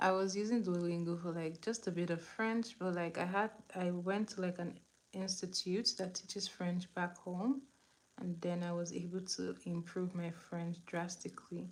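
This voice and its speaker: A woman with a Nigerian accent speaks at a moderate pace, her fairly low voice keeping a fairly even intonation. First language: Igbo. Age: 20s. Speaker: beauty livestreamer. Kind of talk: makeup tutorial livestream. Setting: live stream on camera. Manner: casual, chatty.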